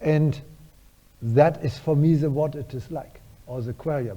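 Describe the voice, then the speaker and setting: Somewhat breathy, a man's fairly high voice has a dark, mellow tone and ordinary pitch variation. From Germany. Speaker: neuroscientist, professor. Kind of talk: lecture Q&A answers. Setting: university lecture hall with audience.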